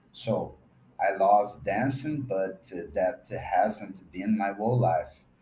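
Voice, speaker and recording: A man with a Brazilian accent speaks at a very slow pace in a dark, mellow tone. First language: Portuguese (speaking French). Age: 40s. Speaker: podcaster and language learner. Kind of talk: scripted reading.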